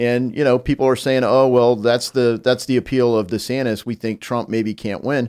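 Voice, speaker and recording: A man with an American accent at a medium pitch, monotone and flat, with hardly any pauses against a quiet background. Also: moderate pace. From US Midwest. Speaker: congressman. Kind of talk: casual chat. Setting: studio.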